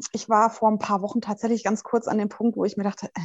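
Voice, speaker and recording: Against a quiet background, a woman talks at a fairly quick pace in a fairly high pitch. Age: 20s. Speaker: mother of two, interview guest. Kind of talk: casual interview.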